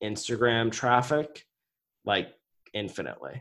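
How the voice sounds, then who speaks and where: A man's voice, with ordinary pitch variation, is heard in a very clean recording against a silent background. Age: 20s. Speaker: entrepreneur and business coach. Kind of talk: interview.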